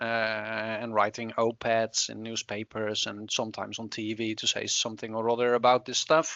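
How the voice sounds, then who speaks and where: A man speaks with a slight Dutch accent at a medium pitch. His pace is moderate. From Netherlands. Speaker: climate researcher. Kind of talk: interview. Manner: halting, many fillers.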